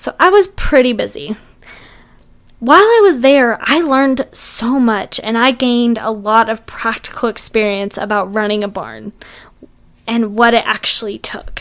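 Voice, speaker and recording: Her fairly high voice moves at a moderate pace, with ordinary pitch variation. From Texas panhandle (moved from Kentucky at 10). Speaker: podcast host and riding instructor. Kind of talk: scripted podcast monologue.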